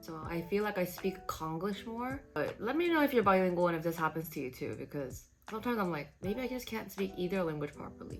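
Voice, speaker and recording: The speaker goes at a very fast pace with hardly any pauses. The intonation is lively, and music plays in the background. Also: woman, medium pitch for a woman. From Saipan, Northern Mariana Islands. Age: 20s. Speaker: lifestyle vlogger. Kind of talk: casual get-ready-with-me chat.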